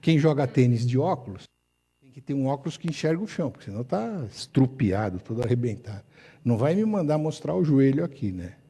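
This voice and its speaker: A man's dark, mellow, somewhat breathy voice at a medium pitch, with very wide pitch swings, a fairly quick pace and a very clean recording over a silent background. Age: 70s. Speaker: ophthalmologist. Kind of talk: lecture. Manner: animated.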